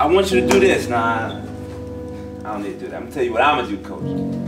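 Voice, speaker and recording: A man is talking while clear music runs behind him. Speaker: camp coach giving talk. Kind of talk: inspirational talk to youth. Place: hall.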